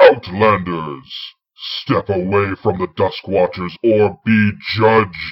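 A loud, booming put-on character voice from a man, fairly low in pitch, at a very slow pace. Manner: commanding, threatening.

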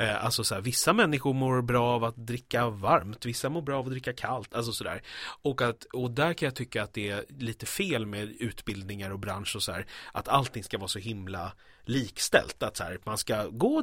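At a moderate pace, a man speaks at medium pitch in a very clean recording with a silent background. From Stockholm, Sweden. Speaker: actor. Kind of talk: casual interview. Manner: hesitant, many fillers.

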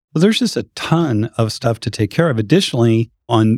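Using an American accent, a man talks at a fairly quick pace with a medium pitch, ordinary pitch variation, and an ordinary speaking voice. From US West (Boise, Phoenix). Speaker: pool industry professional, podcast host. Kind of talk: casual chat.

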